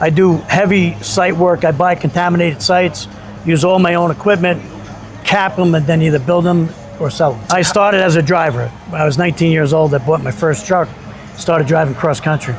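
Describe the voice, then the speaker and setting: Against noticeable background noise and audible room echo, a man speaks at a fairly quick pace in a high pitch, with ordinary pitch variation and very even loudness. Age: 60s. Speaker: supercar owner and business owner. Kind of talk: casual street interview.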